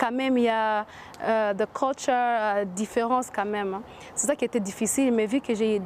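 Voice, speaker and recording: With an English accent, a woman speaks at a moderate pace in a fairly high pitch, her intonation fairly even. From US, Washington. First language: English (speaking French). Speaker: entrepreneur. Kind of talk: interview. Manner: halting, many hesitations.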